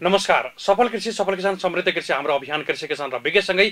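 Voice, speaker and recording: Over a quiet background, a man speaks at a moderate pace. His tone is bright and sharp. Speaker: TV program host. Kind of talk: TV show introduction. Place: studio.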